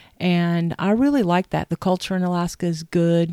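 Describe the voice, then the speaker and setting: Over a silent background in a very clean recording, a woman with a dark, mellow tone speaks fairly slowly with fairly even intonation and a dry, close sound free of echo. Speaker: podcast host's mother. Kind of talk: casual interview. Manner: halting, many ums.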